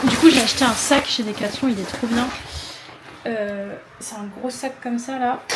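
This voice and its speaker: Over noticeable background noise and audible room echo, a woman speaks in a high pitch with monotone, flat intonation. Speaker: vlogger. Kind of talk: casual vlog talk to camera. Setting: outdoors and gym, handheld camera. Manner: soft-spoken.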